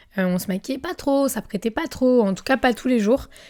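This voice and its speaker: Her dark, mellow tone and lively intonation come through in a very clean recording with a silent background. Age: 20s. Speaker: influencer and podcast host. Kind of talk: casual podcast monologue. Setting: filmed podcast, seated in armchair. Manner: animated.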